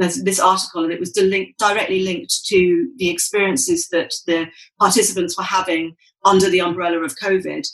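Talking with a British accent, a woman keeps a fairly quick pace. Her medium pitch shows ordinary pitch variation. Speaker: sustainable fashion activist. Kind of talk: casual interview conversation.

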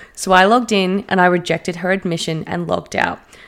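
On a very clean recording with a silent background, a woman speaks in an animated tone at a moderate pace and medium pitch. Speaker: podcast co-host. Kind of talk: casual chat, reading Reddit stories aloud. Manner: animated, excitable.

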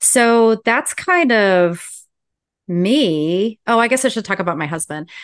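A woman with an American accent speaks very slowly in a fairly high voice. Her pitch swings very widely against a quiet background. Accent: slight Southern US, surfaces when nervous. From US South. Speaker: podcast host. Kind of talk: casual chat.

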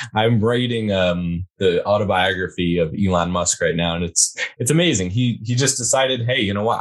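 Against a quiet background, a man with a normal speaking voice talks at a fairly quick pace, his fairly low pitch showing ordinary variation. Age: 20s. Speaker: podcast host, guest. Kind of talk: casual chat.

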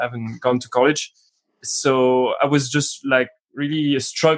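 A man speaks at a moderate pace with a French accent. His medium pitch follows fairly even intonation. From France, Paris. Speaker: musician and film buff guest. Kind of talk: casual film discussion podcast.

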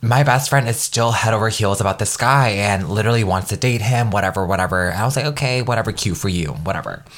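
A man talks at a very fast pace, barely pausing, with ordinary pitch variation. Noticeable background noise is present. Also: fairly low pitch for a man. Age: 20s. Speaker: lifestyle podcast host. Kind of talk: casual solo podcast monologue. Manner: animated.

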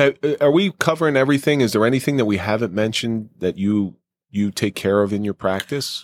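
Over a silent background in a very clean recording, a man with a plain, everyday voice speaks in a medium pitch at a fairly quick pace with lively intonation. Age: 40s. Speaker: podcast host. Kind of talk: casual chat; scripted narration.

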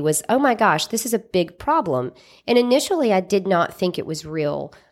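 This woman speaks with a Southern US accent at medium pitch and a moderate pace. The recording is very clean, the background silent. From Mississippi. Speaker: lawyer and cannabis company founder. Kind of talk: interview. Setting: studio.

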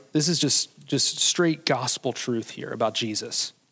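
Lively intonation marks a man's fairly high voice, a plain, everyday voice. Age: 40s. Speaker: pastor. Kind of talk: sermon. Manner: casual, conversational.

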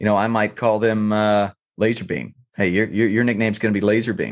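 Over a quiet background, a man with a normal speaking voice and an American accent talks at a moderate pace with a fairly low pitch. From North Carolina. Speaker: youth baseball coach. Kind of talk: casual interview chat.

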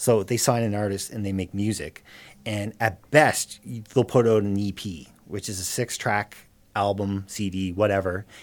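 A man speaks with an unremarkable speaking voice, fairly low in pitch. His pace is fairly slow and his intonation fairly even. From Cape Breton, Nova Scotia, Canada. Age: 30s. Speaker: musician and small business owner. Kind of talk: casual interview. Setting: studio.

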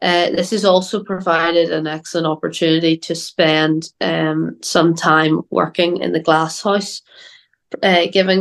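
Someone speaks with a Northern Irish accent at a fairly slow pace. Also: woman. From Northern Ireland. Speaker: agriculture student. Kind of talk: interview. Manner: hesitant, many fillers and repeats.

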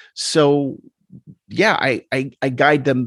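Recorded dry and close with no echo, the man speaks at a fairly high pitch. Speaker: hypnotist. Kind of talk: casual interview chat. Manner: talkative, filler-heavy, slightly halting.

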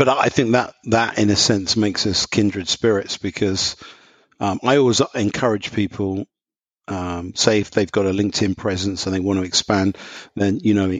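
A man with an English accent, fairly low pitch, fairly even intonation and a moderate pace. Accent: English, non-American. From London, England. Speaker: professor. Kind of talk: casual chat.

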